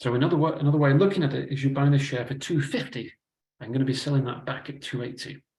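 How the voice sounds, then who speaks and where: A man with a Manchester accent talks at a very fast pace, somewhat breathy, with a medium pitch and fairly even intonation. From northern England, Manchester. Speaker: investment adviser. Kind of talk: webinar presentation. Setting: online webinar.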